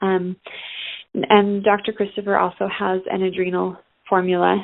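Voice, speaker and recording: A woman in an ordinary speaking voice, medium in pitch, at a moderate pace. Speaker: natural health coach. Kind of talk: informational talk. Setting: phone call.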